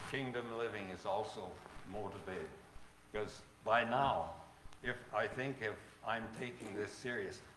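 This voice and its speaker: A medium-pitched male voice with ordinary pitch variation, a fairly slow pace and audible room echo. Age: 80s+. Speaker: preacher. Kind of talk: sermon. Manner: halting.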